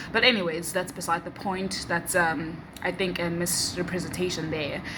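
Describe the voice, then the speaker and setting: A woman's medium-pitched voice in a South African accent at a moderate pace, with audible room echo and music in the background. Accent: South African (Xhosa) English. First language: Xhosa. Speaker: vlogger. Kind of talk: casual vlog talk. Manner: hesitant, many fillers and restarts.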